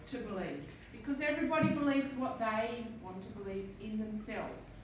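Strong room echo and light background noise fill the recording. Through them, a woman speaks at a high pitch. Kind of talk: talk to schoolchildren about her painting. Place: classroom. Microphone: camera far.

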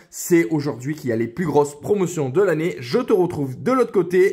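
In a very clean recording with a silent background, a man with a high pitch speaks in an animated tone with lively intonation. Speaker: online scooter shop owner. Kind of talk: sales pitch. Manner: animated, friendly, direct address with 'tu'.

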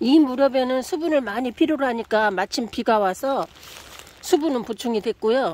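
A moderate pace with a dry sound and no echo. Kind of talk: casual vlog chat. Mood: cheerful, amused. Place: garden. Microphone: phone near.

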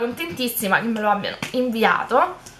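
The speaker is a woman. Her voice has a high pitch. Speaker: beauty YouTuber. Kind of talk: casual haul video talk. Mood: cheerful, enthusiastic. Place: home room. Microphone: phone near.

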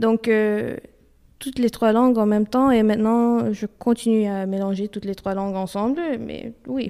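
Delivery is fairly slow. The tone is dark and mellow. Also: woman, fairly even intonation. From Ontario, Canada (Romanian family). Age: 20s. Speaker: university student. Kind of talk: interview. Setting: office. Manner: halting.

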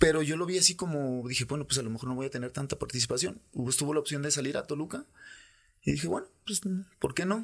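A man with a fairly high pitch and ordinary pitch variation, speaking at a very fast pace over a quiet background. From Guadalajara, Mexico. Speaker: former professional footballer; podcast guest. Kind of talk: casual interview; interview answer. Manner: halting, many repetitions. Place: studio. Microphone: studio mic.

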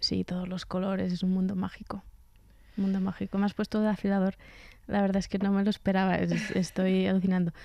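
A woman talks very fast at a medium pitch in a dark, mellow tone with monotone, flat intonation. The sound is dry with no echo, and the background is quiet. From central Spain, Sierra de Gredos (Ávila); Spain. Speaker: cellist and composer; guest. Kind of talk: radio interview. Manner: halting, with frequent repetitions. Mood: warm, amused. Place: studio. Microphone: studio mic.

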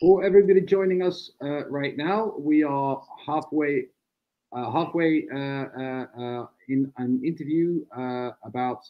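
A man with a Dutch accent, fairly high pitch and ordinary pitch variation, over a quiet background. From Netherlands. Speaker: republican society spokesman, debate moderator. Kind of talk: live online panel debate. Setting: video call. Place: home room. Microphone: video call.

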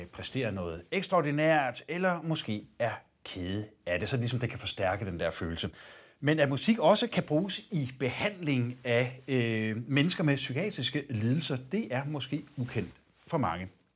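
A man's fairly high voice with vocal fry, very wide pitch swings and a fairly slow pace. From Denmark. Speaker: TV interviewer. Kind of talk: interview conversation. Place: studio. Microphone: lapel.

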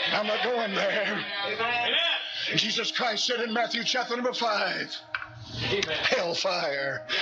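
A man speaking at a very slow pace, with clear music in the background. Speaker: Baptist pastor, hellfire preacher. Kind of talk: fiery sermon to a congregation. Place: church. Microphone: podium.

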